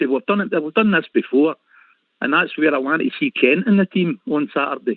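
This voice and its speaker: Lively intonation from a man with a Lanarkshire accent. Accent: Scottish (Lanarkshire). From Scotland, Motherwell. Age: 60s. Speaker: caller, football fan. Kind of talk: call-in chat.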